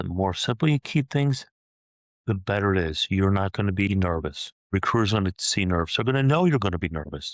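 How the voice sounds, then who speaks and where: A man with an unremarkable speaking voice talks in a fairly low pitch with lively intonation. The sound is dry and close with no echo, over a quiet background. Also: fairly quick pace. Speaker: career transition specialist. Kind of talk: tutorial.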